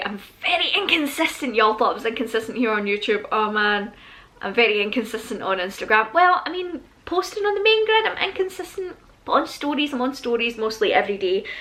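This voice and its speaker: A woman's high-pitched voice in a Scottish accent, fairly quick, with very wide pitch swings and noticeable background noise. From Scotland. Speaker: YouTuber. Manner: fast talker.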